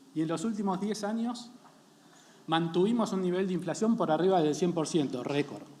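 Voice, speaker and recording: A man with an Argentine accent, high-pitched, with lively intonation at a moderate pace, amid audible room echo and noticeable background noise. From Argentina. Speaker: company founder and CEO. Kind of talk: panel presentation.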